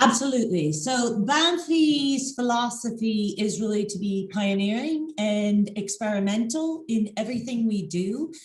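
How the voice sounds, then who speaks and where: Lively and somewhat breathy, a woman's fairly high voice runs on with hardly any pauses, with audible room echo. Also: fairly slow pace. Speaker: winery owner. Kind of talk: interview. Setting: video call.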